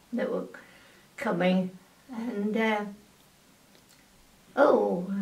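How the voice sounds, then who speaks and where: A woman speaks at a very slow pace with fairly even intonation over noticeable background noise. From England. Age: 80s+. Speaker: wartime aircraft factory worker. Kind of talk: oral history interview answer.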